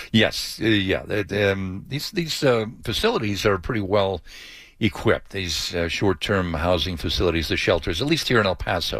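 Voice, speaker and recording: This is an ordinary speaking voice. A man talks at a moderate pace with a fairly low pitch. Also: lively intonation, very clean recording, silent background. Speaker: news correspondent. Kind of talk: live news report.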